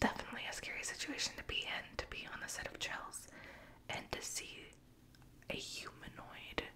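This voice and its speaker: A woman whispers at a fairly slow pace. Noticeable background noise runs underneath. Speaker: ASMR creator reading Reddit stories. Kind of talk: story narration with commentary. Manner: whispered, soft-spoken.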